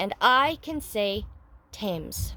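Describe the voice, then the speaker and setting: A woman puts on a character voice. Her pitch is medium. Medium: read story. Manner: lisping.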